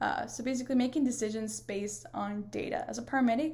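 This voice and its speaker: Somewhat breathy and dark, mellow in tone, a woman talks at a very fast pace with ordinary pitch variation. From northern Mexico, near Monterrey. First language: Spanish. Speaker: paramedic and student. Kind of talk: class video presentation. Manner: hesitant, many fillers.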